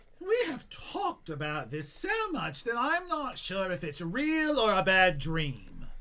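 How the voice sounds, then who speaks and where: A put-on character voice at a middle pitch and a fairly slow pace. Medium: audio drama. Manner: flippant, chatty.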